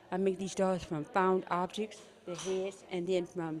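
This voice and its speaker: Against crowd noise in the background, a woman with an American accent talks at a fairly slow pace. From California. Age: 70s. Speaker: doll maker. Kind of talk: show and tell.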